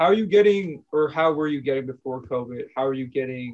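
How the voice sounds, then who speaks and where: A man speaks with an American accent and an unremarkable speaking voice. His pace is moderate and his pitch varies in an ordinary way. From New York / New Jersey. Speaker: podcast host and beat producer. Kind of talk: casual interview.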